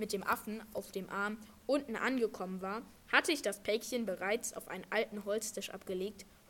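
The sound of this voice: An unforced reading voice, with ordinary pitch variation, carries the speech.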